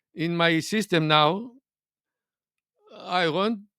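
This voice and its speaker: A man with a non-native accent speaks in a bright, sharp tone on a very clean recording with a silent background. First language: not English. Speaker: spiritual teacher. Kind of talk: spiritual talk. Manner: halting, searching for words.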